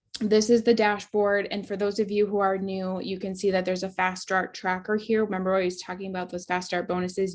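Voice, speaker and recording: A woman with an ordinary speaking voice talks at a fairly quick pace, her medium pitch carried on fairly even intonation. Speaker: network marketing team leader. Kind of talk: training webinar. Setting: video call with screen share. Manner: casual, filler-heavy.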